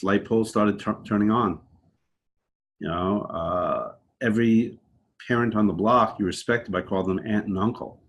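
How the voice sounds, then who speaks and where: A man with a fairly low voice speaks at a fairly quick pace. His intonation is monotone and flat. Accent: New York. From New York, Long Island. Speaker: podcast guest. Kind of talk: casual interview. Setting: remote call.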